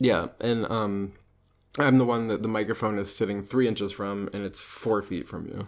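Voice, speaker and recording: A quiet man's voice, fairly low in pitch, at a moderate pace with fairly even intonation. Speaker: podcast co-host. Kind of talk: casual chat. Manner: reserved, quieter; deadpan. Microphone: close to the mic.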